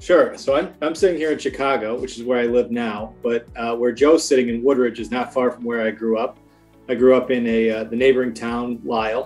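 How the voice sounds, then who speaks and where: Faint music plays in the background as the voice moves at a fairly quick pace with fairly even intonation. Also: man. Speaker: remote guest. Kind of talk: interview answer. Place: home room. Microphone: video call.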